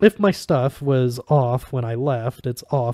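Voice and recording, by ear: Fairly even intonation runs through this clip. The speaker is reading aloud in a natural voice.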